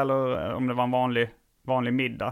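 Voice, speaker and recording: A man speaks in an unremarkable speaking voice at a moderate pace and a medium pitch. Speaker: comedian. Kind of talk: casual chat.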